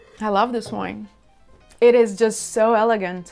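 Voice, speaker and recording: The speaker keeps a monotone, flat intonation at a moderate pace. Faint music plays in the background. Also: woman. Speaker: wine reviewer. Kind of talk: casual tasting commentary. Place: home room. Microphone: lapel.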